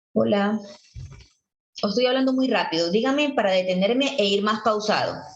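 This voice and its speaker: A woman with a fairly high pitch and ordinary pitch variation speaks in an animated tone at very even loudness, leaving long, frequent pauses amid audible room echo. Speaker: teacher. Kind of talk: lecture. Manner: fast.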